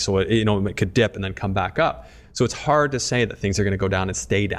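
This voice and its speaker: Over a silent background in a very clean recording, a man speaks with an unremarkable speaking voice at a fairly low pitch. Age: 30s. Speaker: podcast host. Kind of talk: casual chat.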